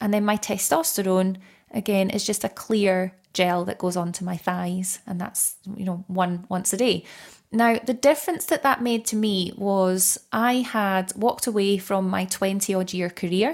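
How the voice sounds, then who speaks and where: A woman with a plain, everyday voice talks at medium pitch and a moderate pace, using ordinary pitch variation. The recording is very clean, with a silent background. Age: 30s. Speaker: menopause coach. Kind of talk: interview conversation.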